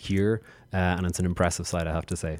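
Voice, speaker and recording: A man with an Irish accent talks at a very fast pace in a very deep, low pitch. The recording is very clean and the background silent. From Ireland. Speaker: diplomat. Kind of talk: interview.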